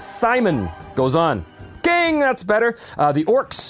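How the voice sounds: reading aloud in a natural voice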